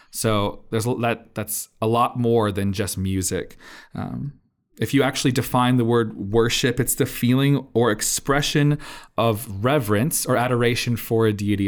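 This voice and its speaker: An American accent marks this man's voice, a plain, everyday voice with fairly even intonation on a very clean recording over a silent background. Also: medium pitch for a man, moderate pace. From Indiana, US Midwest. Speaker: church worship leader. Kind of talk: casual chat.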